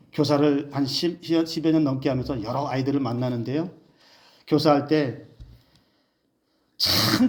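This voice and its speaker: A man's voice sits fairly high in pitch, with ordinary pitch variation and a moderate pace. He takes long, frequent pauses, and room echo is audible. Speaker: pastor. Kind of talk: sermon.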